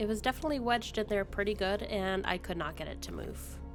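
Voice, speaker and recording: Over music in the background, a woman talks very fast in an upbeat tone. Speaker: gaming content creator. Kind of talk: gameplay narration voice-over. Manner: casual, upbeat.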